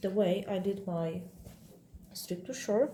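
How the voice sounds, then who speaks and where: In a non-native accent, a woman speaks with a dark, mellow, somewhat breathy tone and fairly even intonation. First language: not English. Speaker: quilting instructor. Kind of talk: tutorial. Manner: halting.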